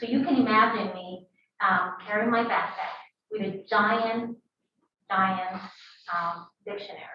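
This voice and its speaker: In a Spanish accent, a woman speaks at a moderate pace with a fairly high pitch and ordinary pitch variation. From Peru. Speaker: biotech founder and scientist. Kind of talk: talk to a university audience. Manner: hesitant, many fillers.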